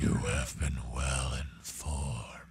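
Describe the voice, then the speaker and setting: A man performs a put-on character voice. It sits very deep and low. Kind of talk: regal monster-king speech. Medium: actual play. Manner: imperious, commanding, grandiose.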